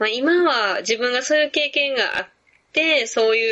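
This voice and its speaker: This woman speaks with a Kansai accent at a moderate pace. Her pitch is high. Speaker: physical therapist. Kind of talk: interview conversation.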